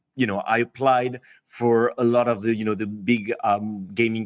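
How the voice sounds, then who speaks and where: The voice comes with a French accent and monotone, flat intonation. Its sound is dry and close, with no echo. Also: man. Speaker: head of strategy at a game company. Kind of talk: podcast interview. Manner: hesitant, many fillers.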